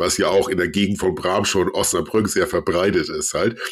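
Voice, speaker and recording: A man's fairly low, ordinary speaking voice at a moderate pace, on a very clean recording with a silent background. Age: 40s. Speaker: podcaster guest. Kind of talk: casual chat. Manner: formal.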